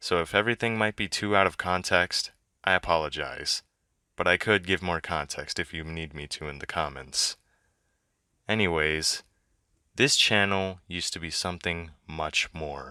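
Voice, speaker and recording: A man's very deep, low voice with a bright, sharp tone, moderate pace and ordinary pitch variation, dry and close with no echo, on a very clean recording with a silent background. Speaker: YouTuber. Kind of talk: vlog monologue.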